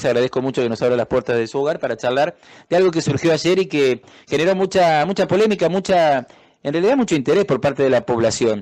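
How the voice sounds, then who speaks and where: A man talks very fast at a fairly high pitch with lively intonation. The background is quiet. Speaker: radio interviewer. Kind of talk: interview question.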